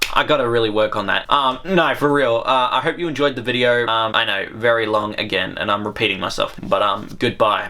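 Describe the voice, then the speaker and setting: A man of medium pitch with an Australian accent, talking at a fairly quick pace with hardly any pauses, over noticeable background noise. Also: ordinary pitch variation. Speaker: YouTuber. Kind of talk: casual monologue to camera. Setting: at home, talking to camera. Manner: rambling, hesitant with many fillers.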